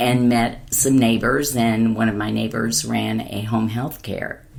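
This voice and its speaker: With vocal fry and a very deep, low pitch, a woman speaks at a fairly slow pace. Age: 70s. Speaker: hospice community liaison. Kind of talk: interview.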